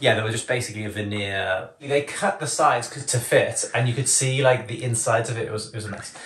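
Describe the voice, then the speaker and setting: Amid audible room echo, a man rushes at a very fast pace with hardly any pauses, his loudness swinging widely while his pitch varies in an ordinary way. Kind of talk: casual vlog chat. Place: home room. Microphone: camera far.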